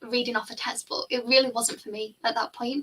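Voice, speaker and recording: Delivered in a Liverpool accent, the speech moves at a moderate pace. The intonation stays fairly even. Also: woman. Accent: Liverpool (Scouse). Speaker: finance tutor. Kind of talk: casual chat. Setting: live stream.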